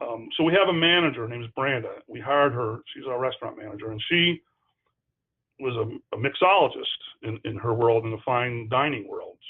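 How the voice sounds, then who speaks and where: A man speaks at a fairly quick pace and medium pitch. His pitch varies in an ordinary way. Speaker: hospital food service director. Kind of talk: webinar presentation. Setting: online webinar. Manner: fast; animated.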